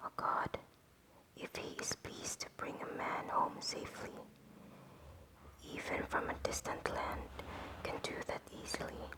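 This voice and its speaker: Whispering at a fairly slow pace, with long, frequent pauses over noticeable background noise. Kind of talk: whispered book reading for relaxation. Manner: whispered, soft.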